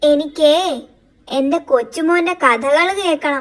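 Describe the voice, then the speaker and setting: A woman puts on a cartoonish character voice, pitched high. She speaks at a very slow pace. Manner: jovial, chuckling.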